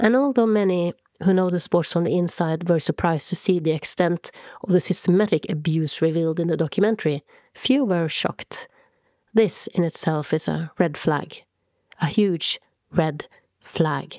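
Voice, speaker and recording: A dark, mellow tone carries a Norwegian accent at a moderate pace with ordinary pitch variation. The recording is very clean with a silent background, and the sound is dry and close with no echo. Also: woman, fairly low pitch for a woman. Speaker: podcast host and author. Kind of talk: scripted narration. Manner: formal.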